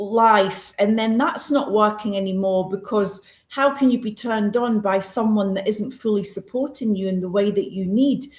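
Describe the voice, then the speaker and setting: A somewhat breathy voice moves at a moderate pace with hardly any pauses and ordinary pitch variation. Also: woman, fairly high pitch for a woman. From Scotland. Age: 60s. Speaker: holistic wellness expert. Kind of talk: podcast interview. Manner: direct.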